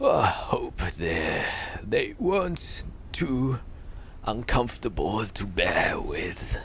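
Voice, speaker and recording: A man speaks in a put-on character voice at a very slow pace, with long, frequent pauses. Background noise is clearly audible. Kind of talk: archaic, formal speech. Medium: actual play. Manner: halting, hesitant, full of pauses.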